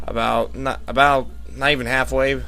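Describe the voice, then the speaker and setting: A man's voice with music in the background. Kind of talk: amateur race commentary over video game footage.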